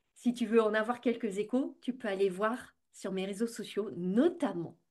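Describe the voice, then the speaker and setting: A somewhat breathy woman speaks very slowly in a fairly high pitch. Her pitch varies in an ordinary way. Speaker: business coach and podcast host. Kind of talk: podcast monologue.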